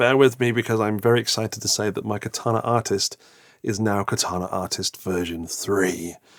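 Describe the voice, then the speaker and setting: In a put-on character voice, a hoarse, soft-spoken man talks at a fairly quick pace and medium pitch. The recording is very clean with a silent background. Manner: excited, enthusiastic.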